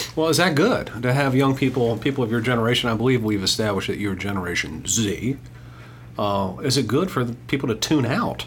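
A man at a medium pitch and fairly quick pace, with ordinary pitch variation, very even loudness and noticeable background noise. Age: 50s. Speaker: podcast host, finance commentator. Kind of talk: casual chat. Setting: studio.

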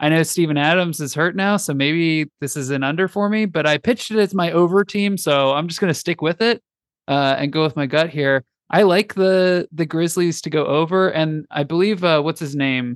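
A man with a plain, everyday voice and a fairly high pitch speaks at a moderate pace. His pitch varies in an ordinary way, and the sound is dry and close with no echo. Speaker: podcast host. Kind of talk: casual chat.

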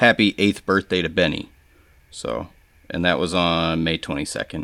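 Heard in a dry, close sound with no echo, a man speaks at a moderate pace in a very deep, low voice with vocal fry and ordinary pitch variation. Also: very clean recording, silent background. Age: 30s. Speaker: custom knife maker and podcast co-host. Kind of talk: casual chat. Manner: calm.

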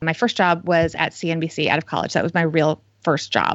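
With an American accent, a woman has an unremarkable speaking voice, fairly low in pitch, and talks at a fairly quick pace. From New Jersey. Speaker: financial journalist and author. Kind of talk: interview.

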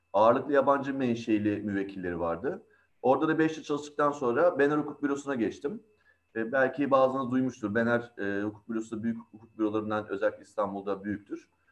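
A man with an ordinary speaking voice talks in a medium pitch. His pace is fairly quick, with ordinary pitch variation. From Izmir, Turkey. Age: 40s. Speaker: in-house lawyer. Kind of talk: panel talk.

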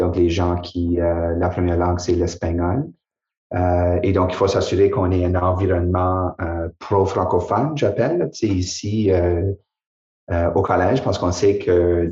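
Against a quiet background, a man with a very deep, low, somewhat breathy voice and a dark, mellow tone speaks at a fairly slow pace with very even loudness and fairly even intonation. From New Brunswick, Acadia. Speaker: college president. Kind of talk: casual chat.

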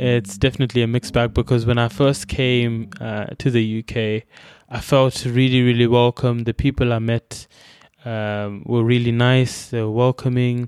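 A man's medium-pitched voice with a Zimbabwean accent and flat, monotone intonation. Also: moderate pace. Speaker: immigrant former student. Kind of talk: storytelling interview. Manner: hesitant, many fillers and repetitions.

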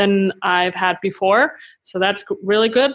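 A woman speaks with a German accent. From Germany. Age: 30s. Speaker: creative entrepreneur and YouTuber. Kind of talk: interview. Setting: remote call from home.

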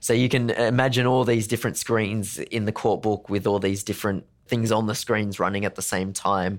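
With an Australian accent, a man speaks in a monotone, flat intonation at a fairly low pitch, with very even loudness and hardly any pauses. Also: moderate pace. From Sydney, Australia. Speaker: legal technology consultant. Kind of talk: interview.

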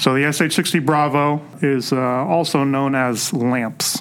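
Noticeable background noise accompanies a man speaking at medium pitch with ordinary pitch variation. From San Francisco Bay Area. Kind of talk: interview answering questions.

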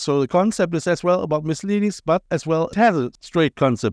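A man talks very fast in a German accent, his pitch fairly high. The recording is very clean with a silent background, and the sound is dry and close with no echo. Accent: German-accented English with Cologne tinge. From Germany, Cologne. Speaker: podcast host and visual artist. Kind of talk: casual interview chat. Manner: animated, repetitive stammering.

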